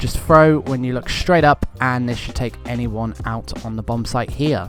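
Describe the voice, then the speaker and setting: Accompanied by background music, a man talks at a fairly slow pace. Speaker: gaming tutorial creator. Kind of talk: game tutorial voiceover.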